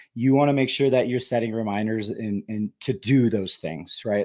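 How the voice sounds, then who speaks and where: The tone here is dark and mellow. It belongs to a man. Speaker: real estate coach. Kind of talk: webinar training session. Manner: many fillers and restarts.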